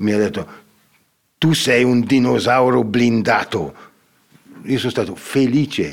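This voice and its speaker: Pausing long and often, a man speaks at a fairly slow pace and medium pitch, with ordinary pitch variation and very even loudness. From Ticino, Switzerland. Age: 60s. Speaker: painter. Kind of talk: casual interview. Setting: stage with audience. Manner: halting.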